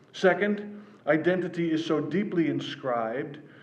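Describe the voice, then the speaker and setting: Over noticeable background noise and audible room echo, a man with an American accent speaks at a moderate pace in a fairly high pitch with ordinary variation. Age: 60s. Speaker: author. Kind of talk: reading aloud.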